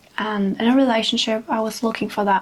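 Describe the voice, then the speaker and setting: The intonation is fairly even, with noticeable background noise behind the voice. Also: woman. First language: not English. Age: 20s. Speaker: vlogger. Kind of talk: personal testimony. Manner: halting.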